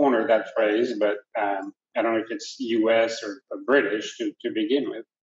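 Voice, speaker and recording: A man's medium-pitched voice with a French accent. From France. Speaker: restaurant owner. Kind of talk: panel discussion. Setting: restaurant event. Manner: hesitant, many fillers.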